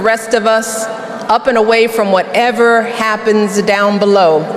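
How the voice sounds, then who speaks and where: Noticeable background noise surrounds a woman speaking at a fairly high pitch. Her tone is warm and her intonation fairly even. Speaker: former First Lady, political speaker. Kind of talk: political rally speech. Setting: live rally, large crowd. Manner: warm, conversational, earnest.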